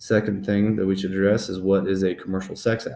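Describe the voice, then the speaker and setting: A man with a fairly low pitch and a fairly quick pace. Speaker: student giving a presentation. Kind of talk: class presentation. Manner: fast; mumbling, halting.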